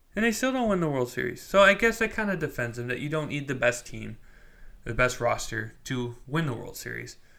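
A man with a fairly high pitch and a bright, sharp tone speaks at a fairly quick pace, his pitch swinging very widely. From US Midwest (Wisconsin). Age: 20s. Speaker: sports podcast host. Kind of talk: casual solo monologue.

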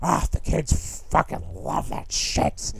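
A put-on character voice moves at a very slow pace over noticeable background noise. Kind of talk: casual. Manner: smug, dismissive.

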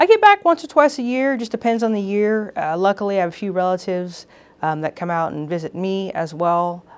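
Against a quiet background, a woman with an American accent uses a normal speaking voice at a medium pitch, with lively intonation and a fairly quick pace. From Texas, Houston. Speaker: police chief. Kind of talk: interview conversation. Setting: police department facility.

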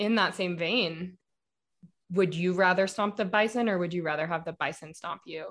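Against a quiet background, a woman speaks in an American accent at a medium pitch and a moderate pace. Her intonation is fairly even, and she has an unremarkable speaking voice. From Denver, Colorado, US. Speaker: podcast host. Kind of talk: casual chat.

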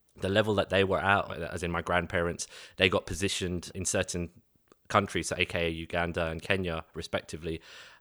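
In a London accent, a bright, sharp voice speaks fairly quickly with monotone, flat intonation, in a very clean, dry, close recording with a silent background and no echo. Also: man, very deep, low pitch for a man. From East London, England. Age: 30s.

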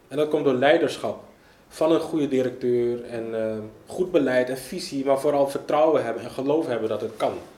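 A man with a fairly high pitch speaks at a moderate pace with ordinary pitch variation, and room echo is audible. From Netherlands, Amsterdam Zuidoost. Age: 30s. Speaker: local politician. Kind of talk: interview.

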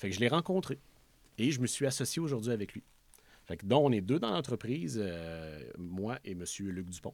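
With a Quebec accent, a man speaks at a moderate pace. His fairly low voice moves through very wide pitch swings. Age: 30s. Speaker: motorcycle dealership owner. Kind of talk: interview.

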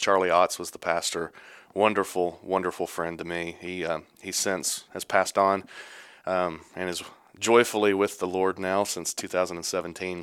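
In a Texan accent, a man with a very deep, low voice talks at a moderate pace with monotone, flat intonation. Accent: Texan Southern US. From East Texas. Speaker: church elder. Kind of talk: casual interview.

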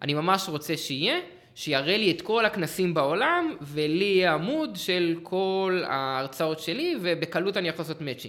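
With a bright, sharp tone and ordinary pitch variation, a man speaks at a moderate pace in a high pitch. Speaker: CTO, software developer. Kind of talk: casual tech chat.

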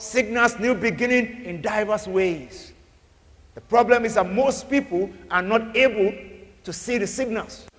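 Against noticeable background noise, a man speaks fairly slowly in a high pitch, his loudness swinging widely. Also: ordinary pitch variation. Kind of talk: sermon. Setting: church. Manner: fervent, rhythmic preacher's cadence with repeated phrases and call-and-response; loud, urgent and commanding, like decreeing blessings over a crowd.

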